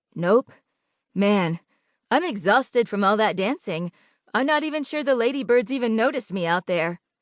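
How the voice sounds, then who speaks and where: Using a put-on character voice, a woman speaks at a moderate pace and fairly high pitch, with long, frequent pauses. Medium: read story.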